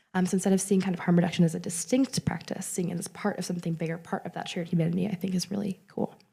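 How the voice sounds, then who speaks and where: A woman talks very fast with hardly any pauses, at a medium pitch and with fairly even intonation. Her voice is somewhat breathy, with a dark, mellow tone. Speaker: conference presenter, researcher. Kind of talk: conference talk.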